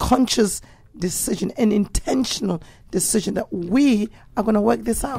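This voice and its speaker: A woman with a dark, mellow tone and vocal fry speaks at medium pitch and a moderate pace, with ordinary pitch variation. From England. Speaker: pastor. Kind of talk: talk show discussion.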